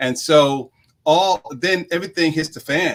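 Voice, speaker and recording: This man has a normal speaking voice, fairly high in pitch, with an American accent. He talks at a fairly slow pace with lively intonation. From New York (Queens). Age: 50s. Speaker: executive coach and author. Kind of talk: interview.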